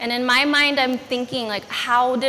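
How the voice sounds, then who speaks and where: Against noticeable background noise, a woman speaks in a high pitch. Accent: Californian. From US, Los Angeles (immigrated from Philippines at 5). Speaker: educator and speaker. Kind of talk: personal story talk.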